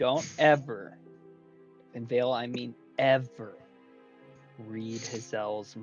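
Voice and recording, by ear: Someone reads the text aloud in a natural voice, keeping a fairly even intonation.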